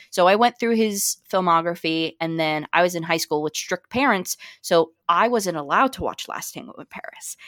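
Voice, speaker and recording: In an ordinary speaking voice, a woman with a fairly low pitch talks at a moderate pace with hardly any pauses, ordinary pitch variation and big swings in loudness, in a dry, close sound with no echo. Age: 20s. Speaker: film podcaster. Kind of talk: casual chat.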